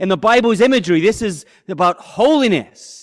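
A man with a high-pitched voice speaks at a moderate pace with lively intonation, recorded very cleanly against a silent background. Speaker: pastor. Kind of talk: sermon. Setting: church with audience.

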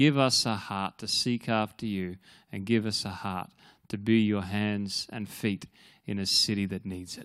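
A man with an Australian accent, fairly low-pitched and fairly slow, fairly even in intonation but with big swings in loudness, on a very clean recording with a silent background. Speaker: pastor. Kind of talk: prayer and church announcements. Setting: church.

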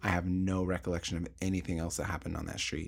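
Very deep and low in pitch, a man talks in an American accent with monotone, flat intonation, in a very clean recording with a silent background. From Portland, Oregon. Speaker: podcast co-host. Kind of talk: casual chat.

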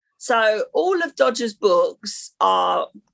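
Recorded very cleanly against a silent background, a woman with a London accent speaks in a dry, close sound with no echo. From London (Battersea, South London). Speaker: life and business coach. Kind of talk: casual chat.

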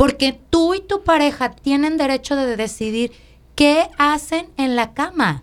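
Her voice high-pitched and her intonation lively, a woman speaks at a fairly slow pace. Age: 40s. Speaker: podcast host. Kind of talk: casual chat.

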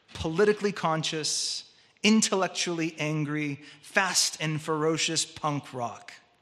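A fairly high-pitched man with a Californian accent, a fairly slow pace and ordinary pitch variation. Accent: Californian American. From Southern California, Orange County. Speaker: preacher. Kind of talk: sermon.

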